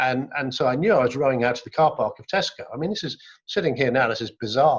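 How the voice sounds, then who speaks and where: A man talks at a very fast pace in a somewhat breathy, fairly high voice. His loudness swings widely, and his pitch variation is ordinary. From Wales. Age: 60s. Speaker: business leader and adventurer. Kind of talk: interview. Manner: hesitant, with frequent word repeats.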